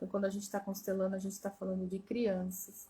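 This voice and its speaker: A woman speaks at a medium pitch with a somewhat breathy quality. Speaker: family constellation therapist. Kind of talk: live stream talk. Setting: Instagram live.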